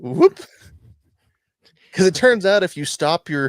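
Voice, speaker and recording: On a very clean recording with a silent background, a man speaks at a moderate pace with ordinary pitch variation, the sound dry and close with no echo. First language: not English. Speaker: podcast co-host. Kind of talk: casual history chat. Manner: stumbling over words.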